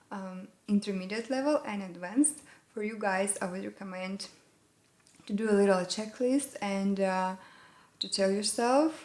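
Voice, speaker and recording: A woman with a Russian accent speaks at a fairly slow pace with ordinary pitch variation. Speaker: English learning YouTuber. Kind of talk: tutorial. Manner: halting, with many fillers.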